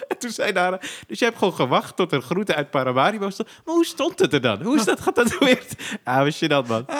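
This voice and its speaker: Talking at a fairly quick pace, a high-voiced man swings his pitch very widely. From Zaandam, Netherlands (Poelenburg). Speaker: comedian and podcast host. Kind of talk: casual chat.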